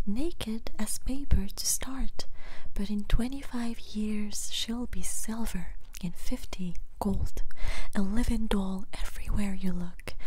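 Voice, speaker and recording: Very slow, soft-spoken speech comes through with noticeable background noise. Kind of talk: poetry reading.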